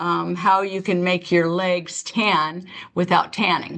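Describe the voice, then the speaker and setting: Over a quiet background, a woman speaks very slowly at a medium pitch with fairly even intonation. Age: 60s. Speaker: beauty consultant. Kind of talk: product demonstration. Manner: casual, chatty.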